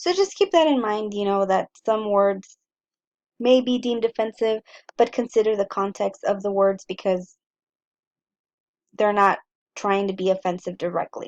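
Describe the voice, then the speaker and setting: A woman speaks with a Spanish accent. She leaves long, frequent pauses. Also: medium pitch for a woman, ordinary pitch variation, moderate pace. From US-Mexico border, El Paso, Texas. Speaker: college English instructor. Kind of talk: lecture, syllabus walkthrough. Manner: casual, some filler words.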